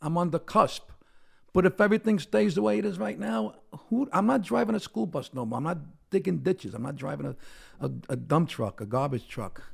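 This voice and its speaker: The speaker talks at a fairly quick pace with vocal fry and very wide pitch swings. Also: man, fairly high pitch for a man. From Brooklyn, New York. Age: 60s. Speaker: comedian. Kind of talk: casual chat.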